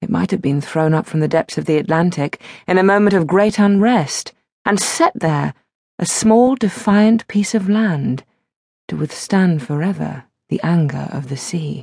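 A woman speaks in a somewhat breathy voice with lively intonation. The sound is dry and close, with no echo. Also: fairly low pitch for a woman, moderate pace. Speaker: audiobook narrator. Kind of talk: atmospheric literary narration of a gothic short story. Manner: measured, evocative storytelling pace; brooding, haunting tone.

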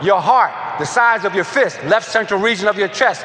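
A man speaks in a raised, projected voice with an animated tone. Noticeable background noise runs behind him. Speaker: motivational speaker. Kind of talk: audiobook-style motivational lecture. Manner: animated, emphatic, driving repetition; faith-infused, preacherly cadence.

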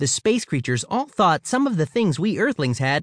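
What is heard is someone plainly reading aloud.

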